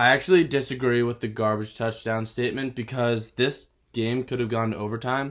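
With a normal speaking voice, a man talks at a moderate pace and medium pitch, his intonation fairly even, on a very clean recording with a silent background. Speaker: podcast host, college student. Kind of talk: casual sports podcast chat.

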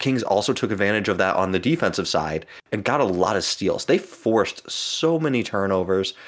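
A man with a plain, everyday voice speaks in a fairly low pitch at a fairly quick pace, with lively intonation, very even loudness and hardly any pauses. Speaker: podcast host. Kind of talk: casual chat.

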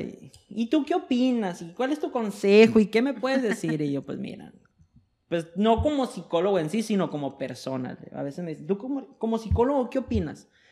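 Speaking at a fairly quick pace, a man uses a high pitch that swings very widely. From Mexico, Sonora. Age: 20s. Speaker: psychologist. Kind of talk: casual chat.

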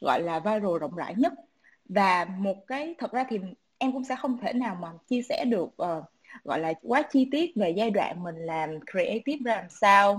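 A woman with a fairly high, somewhat breathy voice talks at a moderate pace, her pitch swinging very widely. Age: 20s. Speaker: startup founder in music marketing. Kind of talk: online panel discussion.

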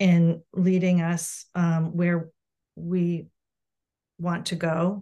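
A woman's fairly low, somewhat breathy voice with an American accent, dark and mellow in tone, with monotone, flat intonation. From Massachusetts, South Shore. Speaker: parent coach. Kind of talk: interview.

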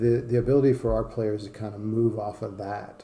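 A man with an American accent, heard with audible room echo. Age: 50s. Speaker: college soccer coach. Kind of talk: interview. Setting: in-person in his office.

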